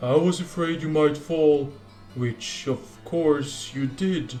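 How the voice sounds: Putting on a character voice, a man speaks fairly slowly at a fairly high pitch. Clear background noise is heard throughout.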